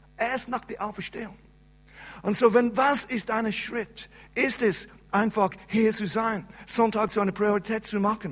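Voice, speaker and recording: A high-pitched man with an English accent, fairly slow and fairly even in intonation, with long, frequent pauses. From England. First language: English (speaking German). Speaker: pastor. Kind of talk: sermon. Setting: church service. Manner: halting.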